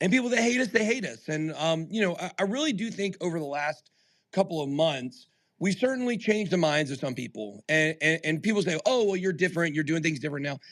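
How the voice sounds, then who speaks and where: A man's loud, high-pitched voice, animated and passionate, racing along very fast with lively intonation. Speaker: crypto YouTuber and podcast host. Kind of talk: Twitter Spaces live discussion. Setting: live audio stream on Twitter Spaces. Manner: animated, passionate.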